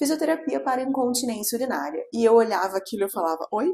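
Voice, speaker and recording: A woman speaks with a Carioca accent. Her pitch swings very widely. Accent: Carioca accent, noticeable. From Rio de Janeiro, Brazil. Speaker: pelvic physiotherapist. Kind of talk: interview. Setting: studio, in person.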